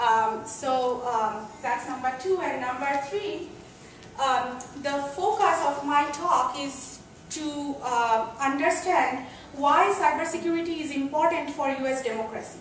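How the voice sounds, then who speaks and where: A woman with a non-native accent speaks high and fairly slowly with ordinary pitch variation, amid audible room echo and noticeable background noise. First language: not English. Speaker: computer science professor. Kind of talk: lecture. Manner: hesitant, many fillers.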